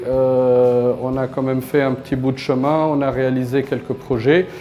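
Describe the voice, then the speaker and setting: With music in the background, a man speaks in a medium pitch at a fairly slow pace, his intonation monotone and flat. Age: 30s. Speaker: company founder. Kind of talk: interview testimony. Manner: halting, many hesitations.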